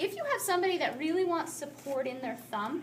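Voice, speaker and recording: Audible room echo surrounds a woman talking at a moderate pace with lively intonation. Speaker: athletic therapy instructor. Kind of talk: classroom taping demonstration.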